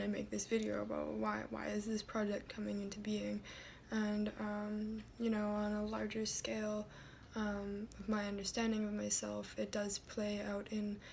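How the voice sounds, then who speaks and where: Over noticeable background noise, a soft-spoken voice goes along at a moderate pace. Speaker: video blogger. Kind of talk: personal vlog. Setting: at home. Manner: soft-spoken, talking quietly; halting, many fillers.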